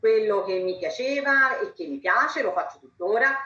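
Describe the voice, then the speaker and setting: At a moderate pace, a woman with an unremarkable speaking voice uses lively intonation. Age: 50s. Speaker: law professor, vice-rector. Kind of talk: panel talk.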